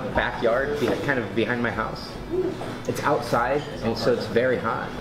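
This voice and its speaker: A man at a moderate pace over clear music in the background. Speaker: guest. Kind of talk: interview answer. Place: cafe. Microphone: camera far.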